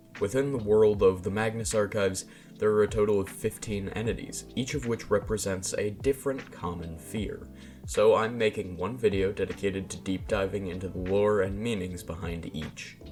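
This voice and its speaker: With music in the background, a man speaks at a moderate pace in a fairly low voice with ordinary pitch variation. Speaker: YouTube video essayist. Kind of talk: lore explainer video essay narration. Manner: casual, humorous.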